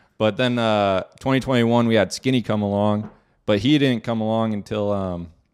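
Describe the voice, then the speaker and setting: A man with an unremarkable speaking voice and an American accent talks at a fairly low pitch with fairly even intonation in a very clean recording with a silent background. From Arizona. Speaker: professional paintball player. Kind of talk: interview.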